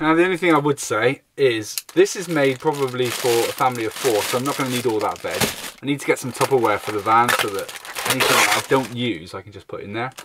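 There is noticeable background noise as a man speaks with ordinary pitch variation, and the sound is dry with no echo. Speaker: van life vlogger. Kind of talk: casual vlog chat. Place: car. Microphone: phone near.

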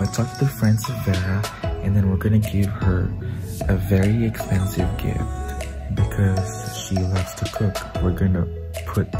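A man at a moderate pace, with loud music in the background. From Philippines. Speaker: vlogger. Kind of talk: casual vlog talk to camera. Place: home room. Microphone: phone near.

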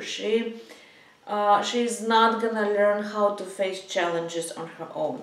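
Speaking at a very slow pace with fairly even intonation, a woman is heard with audible room echo. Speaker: psychology coach. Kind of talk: advice talk to camera. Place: home room.

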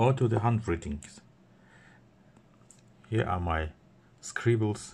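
A man with a non-native accent, somewhat breathy and very slow. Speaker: e-reader seller and reviewer. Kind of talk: product demo narration. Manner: hesitant, many fillers. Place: office. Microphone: phone near.

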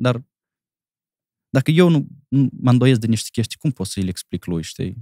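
In a dark, mellow tone, a man talks at a fairly slow pace, the sound dry with no echo and the background quiet. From Moldova (Cahul); Moldova. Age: 30s. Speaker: comedian; comedian guest. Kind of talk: casual chat. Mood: relaxed, reflective. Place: studio. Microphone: studio mic.

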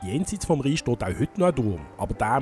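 Over background music, a man with a Basel accent talks at a fairly quick pace with very wide pitch swings. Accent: Basel Swiss German dialect. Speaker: local history guide. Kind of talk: historical walking-tour narration.

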